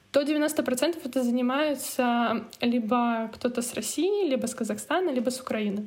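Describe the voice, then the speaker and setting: Fairly slow, high-pitched speech from a woman. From Russia, Murmansk. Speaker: emigrant student. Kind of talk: interview.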